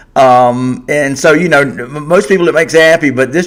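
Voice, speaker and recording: With a Southern US accent, a man talks in a fairly high pitch. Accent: Southern US (Georgia). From Georgia, US South. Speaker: sports podcast host. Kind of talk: live stream sports talk show. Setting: live stream. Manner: casual, conversational.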